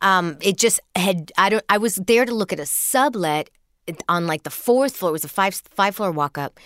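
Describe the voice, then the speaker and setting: In a very clean recording with a silent background and a dry, close sound with no echo, a woman speaks in a normal speaking voice at a medium pitch and moderate pace, with lively intonation. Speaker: comedian. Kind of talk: casual chat.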